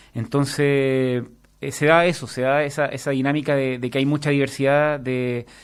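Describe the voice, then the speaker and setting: Using a Chilean accent, a man speaks at a fairly high pitch with monotone, flat intonation. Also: moderate pace. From southern Chile. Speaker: master's student, trained lawyer. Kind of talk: radio interview. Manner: hesitant, many fillers.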